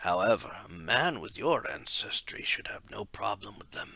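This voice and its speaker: Using a put-on character voice, a man speaks at a fairly low pitch. His voice is raspy. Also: moderate pace. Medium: read story.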